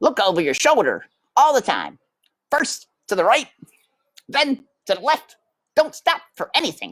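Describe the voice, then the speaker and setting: In a put-on character voice with a high pitch, the speaker moves at a moderate pace with long, frequent pauses. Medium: read story. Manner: brisk, impatient.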